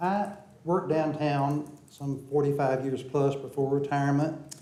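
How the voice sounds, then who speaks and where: Audible room echo surrounds the recording. A man with a fairly high pitch speaks at a moderate pace. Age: 70s. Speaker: public commenter at city council. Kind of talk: public comment speech. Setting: city council meeting chamber.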